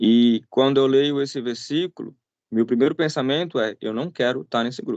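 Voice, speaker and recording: A man with a Brazilian accent speaks at a moderate pace with ordinary pitch variation. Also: medium pitch for a man. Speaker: missionary preacher. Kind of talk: sermon. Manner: conversational.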